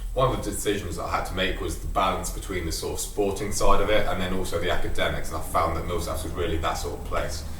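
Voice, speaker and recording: A man with a London accent talking at a very fast pace with hardly any pauses, audible room echo and noticeable background noise. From England, London. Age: young. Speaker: college student athlete. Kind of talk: interview.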